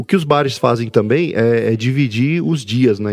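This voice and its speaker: Ordinary pitch variation runs through a voice whose tone is dark and mellow. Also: man. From Brasília, Brazil. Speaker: podcaster. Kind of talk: casual chat.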